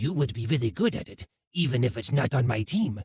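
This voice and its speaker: A growling, put-on character voice delivers its lines at a fairly quick pace. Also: man, medium pitch for a man. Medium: read story. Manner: formal, courteous.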